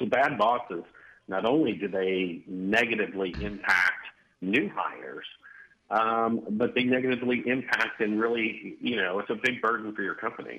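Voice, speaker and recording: A man uses an ordinary speaking voice at a medium pitch, talking at a moderate pace with ordinary pitch variation. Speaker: military veteran and corporate recruiting executive. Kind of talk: interview.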